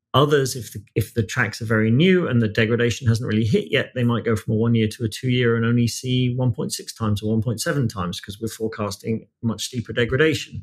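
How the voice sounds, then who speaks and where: This man talks at a fairly quick pace with a British accent, his medium-pitched voice somewhat breathy and ordinary in its pitch variation. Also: hardly any pauses. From Britain. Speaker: music finance executive. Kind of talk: podcast interview.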